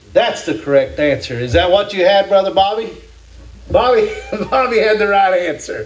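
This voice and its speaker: A man with an American accent speaks at a high pitch with lively intonation. Noticeable background noise and audible room echo fill the recording. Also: moderate pace. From Kentucky. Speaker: preacher. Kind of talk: sermon.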